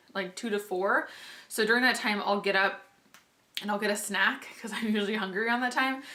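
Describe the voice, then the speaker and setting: A woman talks at a medium pitch with fairly even intonation. Noticeable background noise and audible room echo run through the recording. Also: fairly quick pace. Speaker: vlogger. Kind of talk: casual vlog update.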